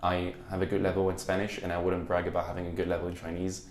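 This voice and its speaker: Very fast speech comes from a man with a very deep, low pitch. Room echo is audible. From France. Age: young. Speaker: university student. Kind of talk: interview. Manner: halting.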